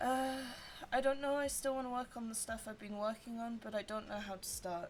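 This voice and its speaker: A quiet woman talks at a fairly quick pace in a fairly high pitch, her intonation fairly even, with noticeable background noise behind her. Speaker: streamer. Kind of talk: casual livestream chat while colouring. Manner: quiet, subdued; halting, many fillers.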